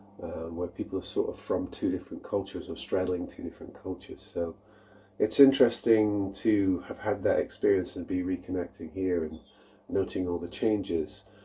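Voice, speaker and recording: With an American accent, a man talks at a fairly quick pace in a very deep, low voice with a dark, mellow tone. His delivery is somewhat breathy, and his intonation is fairly even. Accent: mid-Atlantic, between UK and US. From England. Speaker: YouTuber, guitar maker. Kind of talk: casual vlog update. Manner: halting, many fillers.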